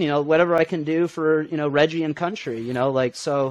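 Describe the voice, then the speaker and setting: In a normal speaking voice, a man with an American accent talks at a fairly quick pace and a fairly high pitch against a quiet background. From central Illinois. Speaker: student superfan. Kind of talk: casual interview.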